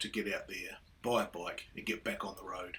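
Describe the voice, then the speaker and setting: A man talks with a New Zealand accent. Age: 60s. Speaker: motorcycle vlogger. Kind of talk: casual vlog monologue. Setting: riding a motorcycle outdoors. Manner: hesitant, many fillers.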